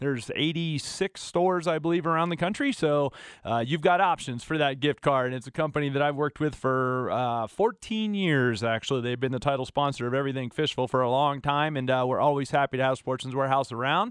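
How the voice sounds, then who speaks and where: With an unremarkable speaking voice, a man talks at a fairly quick pace with hardly any pauses, his fairly high pitch showing ordinary variation. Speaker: fill-in radio host. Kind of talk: radio dj patter. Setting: radio studio. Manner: upbeat, smooth, friendly.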